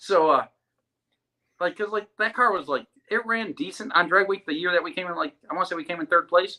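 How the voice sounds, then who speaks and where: A man with an American accent projects his high, bright, sharp voice at a fairly quick pace. His tone is animated and his pitch varies in an ordinary way. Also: dry, close sound with no echo. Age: 30s. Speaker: drag racer. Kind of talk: casual chat. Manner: fast.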